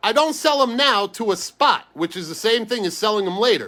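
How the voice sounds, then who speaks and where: A man talks in a New York accent, his voice raised and projected. His tone is animated and his intonation lively. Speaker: sports card breaker. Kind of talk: live stream card break chat. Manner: fast.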